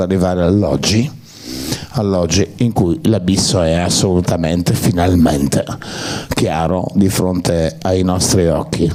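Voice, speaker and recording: A man talks in a very deep, low voice with ordinary pitch variation. Noticeable background noise runs under the recording. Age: 60s. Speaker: actor. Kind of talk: public Q&A talk. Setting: cinema with audience.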